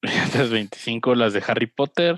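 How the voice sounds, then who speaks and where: A man speaks at a very slow pace. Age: 20s. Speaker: film podcast co-host. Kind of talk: casual chat. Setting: video call.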